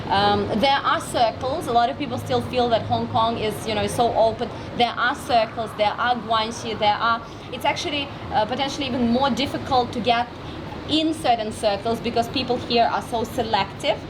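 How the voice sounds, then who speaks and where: A woman with a Russian accent, fairly high in pitch, at a moderate pace with ordinary pitch variation, plus audible room echo and noticeable background noise. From Russian Far East, Vladivostok. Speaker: entrepreneur and marketing expert. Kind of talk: interview. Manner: loud; energetic.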